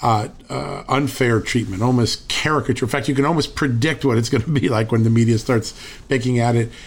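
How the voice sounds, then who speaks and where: A man with an American accent and a normal speaking voice talks at a fairly quick pace and medium pitch, with fairly even intonation and very even loudness. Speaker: podcast host. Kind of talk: interview with ad reads.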